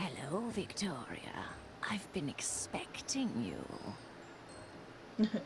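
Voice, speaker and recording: Whispering in a put-on character voice at a fairly slow pace, the speaker leaves long, frequent pauses over loud background noise. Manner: creepy, menacing.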